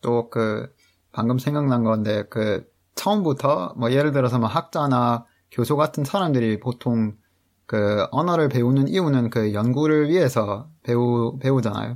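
A medium-pitched man at a fairly slow pace, with ordinary pitch variation and very even loudness, in a very clean recording with a silent background. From Canada. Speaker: translator. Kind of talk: interview.

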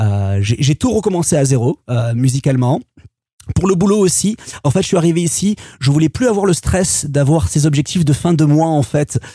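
A man's dark, mellow, somewhat breathy voice at a fairly high pitch, with very wide pitch swings and a dry, close sound with no echo. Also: moderate pace, very even loudness. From Marseille, southern France. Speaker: music producer and DJ. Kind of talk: interview testimony. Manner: halting, many fillers and repetitions.

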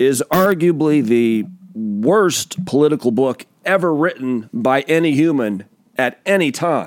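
A man with an American accent talks at a very slow pace. His fairly high pitch swings very widely. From US Pacific Northwest. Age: 40s. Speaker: podcast host. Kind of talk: casual monologue. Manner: animated.

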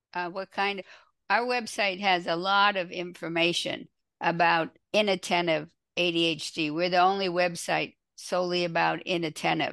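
A woman's bright, sharp voice sits at a fairly low pitch with fairly even intonation. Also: moderate pace. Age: 80s+. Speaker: nonprofit founder and ADHD advocate. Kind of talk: interview.

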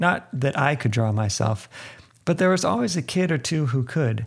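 A somewhat breathy man with lively intonation, in a very clean recording with a silent background. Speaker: podcast host and narrator. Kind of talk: scripted narration with interview clips.

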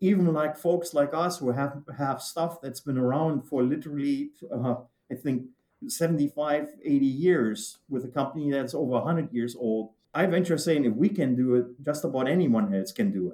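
A dark, mellow tone in a German accent, with ordinary pitch variation and a moderate pace. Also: man, fairly high pitch for a man. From Germany. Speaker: manufacturing executive. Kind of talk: interview.

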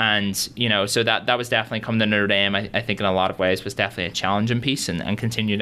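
A man with a Northern Irish accent, fairly low in pitch, fairly even in intonation, at a very fast pace. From Northern Ireland, Derry. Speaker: university student. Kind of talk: interview.

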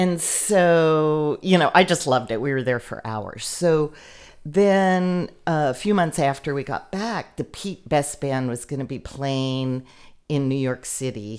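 A woman's very deep, low voice with an American accent, fairly slow and lively in intonation, in a very clean recording with a silent background. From Texas, Lubbock. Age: 50s. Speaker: radio producer. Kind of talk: casual chat. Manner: relaxed.

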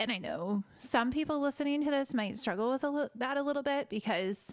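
A woman speaks at a high pitch with lively intonation. Her pace is moderate. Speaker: podcast co-host and team leader. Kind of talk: casual chat.

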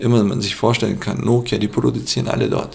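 A man's voice at medium pitch. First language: Aramaic (speaking German). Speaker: hotel owner and former IT manager. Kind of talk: casual interview. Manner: halting, many fillers.

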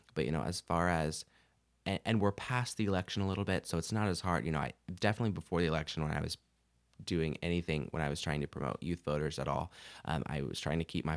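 Vocal fry and ordinary pitch variation come through in a very clean recording with a silent background and a dry, close sound with no echo. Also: man. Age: young. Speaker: podcast host. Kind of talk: casual chat. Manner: halting.

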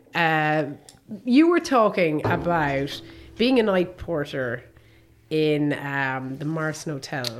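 A woman with a Limerick accent speaks at a very slow pace with a very deep, low pitch. Her intonation is lively, with long, frequent pauses. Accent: Irish (Limerick). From Ireland, Limerick. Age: 40s. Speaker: podcast host. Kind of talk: casual chat.

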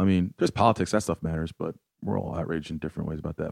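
Very fast speech comes from a man. The sound is dry and close with no echo, and the background is quiet. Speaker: improv comedian. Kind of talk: casual comedic chat.

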